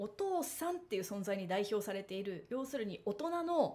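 Somewhat breathy and fairly high, a woman's voice makes very wide pitch swings. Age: 30s. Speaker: solo talk show host, former magazine editor; solo talk show host. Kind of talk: solo monologue talk. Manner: casual, chatty with many fillers. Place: home room. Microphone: studio mic.

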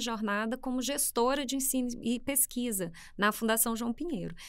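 Against a quiet background, a woman with a Minas Gerais accent speaks at a high pitch with ordinary pitch variation. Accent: Minas Gerais (mineiro). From Brazil, interior of Minas Gerais. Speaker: public administration school head, economist; podcast guest. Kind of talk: interview conversation. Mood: warm, relaxed, slightly humorous. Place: studio. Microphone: studio mic.

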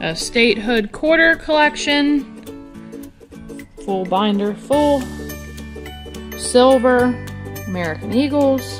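A woman's fairly high, lively voice at a very slow pace, long and frequent pauses, clear music in the background. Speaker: auction house presenter. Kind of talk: auction preview presentation to camera. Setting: indoors at an auction house. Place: hall. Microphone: phone near.

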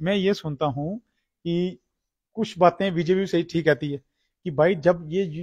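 Speaking very slowly with hardly any pauses, a man uses a high pitch and fairly even intonation. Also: quiet background. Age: 40s. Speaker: cow shelter caretaker and activist; interviewee. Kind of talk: on-site interview. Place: farm. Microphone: lapel.

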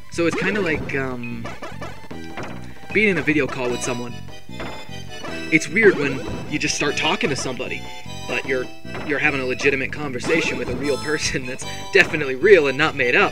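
With clear music in the background, the speaker moves at a fairly quick pace but leaves long, frequent pauses. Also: dry sound with no echo. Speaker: gaming let's play commentator. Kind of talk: casual gameplay commentary. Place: home room.

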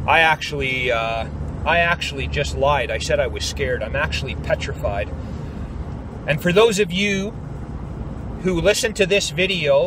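A man at a moderate pace, dry sound with no echo, light background noise behind him. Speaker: YouTube vlogger. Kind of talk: angry rant; vlog monologue. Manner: forceful, emphatic, blunt. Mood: upset, worried, indignant. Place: car. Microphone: phone near.

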